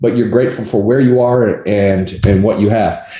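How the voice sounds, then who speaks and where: With audible room echo around him, a man talks at a moderate pace and medium pitch. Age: 60s. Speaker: negotiation coach and appraisal umpire. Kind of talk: interview.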